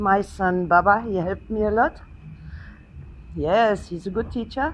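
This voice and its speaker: A woman speaks at a fairly slow pace with a German accent. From Germany. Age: 60s. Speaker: guest. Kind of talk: speech at event. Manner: simple short sentences.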